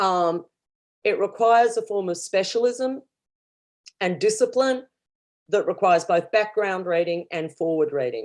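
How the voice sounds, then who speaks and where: With an Australian accent, a woman speaks at a moderate pace in a medium pitch, leaving long, frequent pauses. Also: lively intonation. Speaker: professor. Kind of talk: academic conference talk. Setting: virtual conference livestream.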